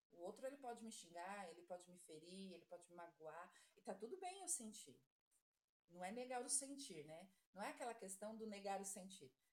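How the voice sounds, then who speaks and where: A woman's plain, everyday voice: medium pitch, lively intonation, moderate pace. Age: 40s. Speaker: nursing assistant. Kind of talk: casual chat.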